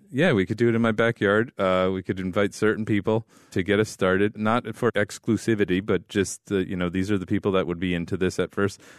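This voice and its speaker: A man's fairly low, normal speaking voice: a normal speaking voice, fairly quick with hardly any pauses, fairly even intonation and very even loudness. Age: 40s. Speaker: podcast co-host. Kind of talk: casual chat.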